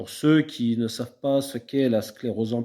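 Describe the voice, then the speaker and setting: Recorded very cleanly against a silent background, a man speaks at a fairly slow pace. His tone is dark and mellow. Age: 30s. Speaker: beekeeping vlogger. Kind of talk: personal vlog talk. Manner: halting, many fillers and repetitions.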